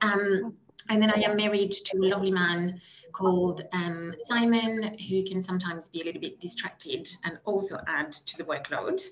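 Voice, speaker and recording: A woman's medium-pitched voice in a French accent, with fairly even intonation and a moderate pace, over noticeable background noise. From France. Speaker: meat category manager. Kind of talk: panel discussion.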